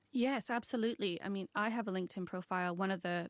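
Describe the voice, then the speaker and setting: A woman with an unremarkable speaking voice talks at a fairly quick pace and medium pitch. The sound is dry and close with no echo, and the background is quiet. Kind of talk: radio interview answer.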